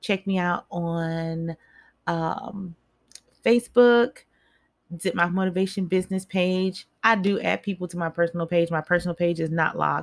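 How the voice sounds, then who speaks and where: A woman with an unremarkable speaking voice talks at a moderate pace in a fairly low pitch with fairly even intonation. The sound is dry and close, with no echo. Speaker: mindset coach and spoken word poet. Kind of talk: motivational speech. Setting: live online broadcast. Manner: direct and rallying, urging listeners to act.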